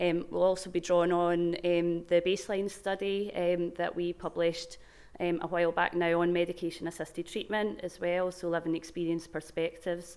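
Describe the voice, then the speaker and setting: The speaker has a Glaswegian accent and talks at a moderate pace with monotone, flat intonation. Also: woman, fairly low pitch for a woman. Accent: Glaswegian Scottish. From Scotland, Glasgow. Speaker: research programme manager. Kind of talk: conference talk. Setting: stage with microphone at conference.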